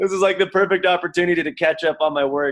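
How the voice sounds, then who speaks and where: This is a man with a western US accent. His pitch variation is ordinary. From Utah, Salt Lake City. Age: 30s. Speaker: pro skier and non-profit director. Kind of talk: casual interview chat. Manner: casual, filler-heavy with lots of 'like'.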